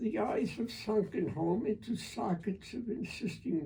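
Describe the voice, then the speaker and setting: A dark, mellow tone at a very slow pace with lively intonation. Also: man. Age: 80s+. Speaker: poet and retired physician. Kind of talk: poetry reading. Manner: slow, halting.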